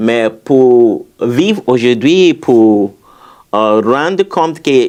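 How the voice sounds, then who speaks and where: Against a quiet background, a man with a non-native accent talks in a medium pitch with lively intonation. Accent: foreign accent in French. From former British colony. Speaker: memoir author, immigrant. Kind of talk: interview. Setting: college room, filmed interview. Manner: halting, many repetitions and fillers.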